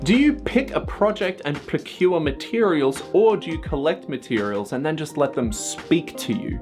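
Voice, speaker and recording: A man at a moderate pace, music in the background. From Australia. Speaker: costume maker. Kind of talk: casual talk to camera.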